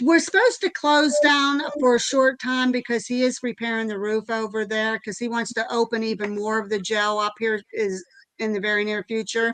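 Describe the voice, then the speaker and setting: A woman talks at a moderate pace with hardly any pauses in a plain, everyday voice. Her pitch is fairly high, with ordinary pitch variation. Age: 60s. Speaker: paranormal investigator and jail tour guide. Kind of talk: casual interview. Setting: live stream interview.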